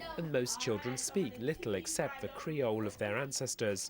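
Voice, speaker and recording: Here is a man with a medium pitch and a normal speaking voice. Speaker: TV news correspondent. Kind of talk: TV news report narration.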